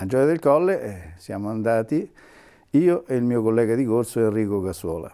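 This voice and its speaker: Over a quiet background, a man with a dark, mellow tone talks at a moderate pace with very wide pitch swings. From central Italy, Foligno (Umbria); Umbria, Italy. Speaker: retired airline and military pilot. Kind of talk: interview storytelling. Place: home room. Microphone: lapel.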